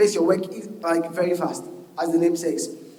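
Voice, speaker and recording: Speech from a man, with room echo audible and background noise noticeable. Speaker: software engineer giving a conference talk. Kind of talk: conference talk. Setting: stage with audience. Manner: fast; animated.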